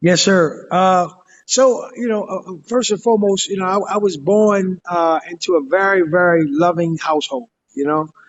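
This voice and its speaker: Speaking with an American accent, a man with a high pitch shows ordinary pitch variation. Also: moderate pace. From Baltimore, US. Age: 40s. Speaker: community organization founder. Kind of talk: interview. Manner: halting, many fillers.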